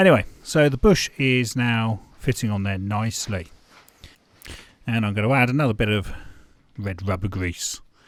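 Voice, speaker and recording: A man with a medium pitch and ordinary pitch variation is heard in a very clean recording against a silent background. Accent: British. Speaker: amateur car DIY vlogger. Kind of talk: tutorial. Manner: casual, conversational.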